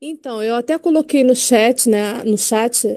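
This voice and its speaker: Speaking very slowly, a woman uses a dark, mellow tone. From Rio de Janeiro. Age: 50s. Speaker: teacher, audience participant. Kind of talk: audience question.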